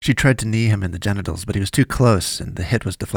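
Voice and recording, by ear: This is reading aloud in a natural voice. Pitch variation stays ordinary.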